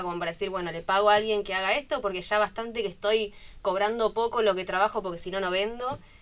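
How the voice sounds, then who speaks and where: At a very fast pace, a woman talks with a medium pitch. Her pitch variation is ordinary. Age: 20s. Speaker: community manager and student. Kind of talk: radio interview.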